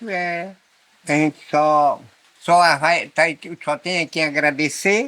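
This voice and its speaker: The speaker is a man with a bright, sharp tone. His sound is dry and close, with no echo. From Brazilian Amazon, Amazonas riverside. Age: 70s. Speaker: rural community elder. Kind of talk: casual interview. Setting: indoors in Amazon village, rain on roof.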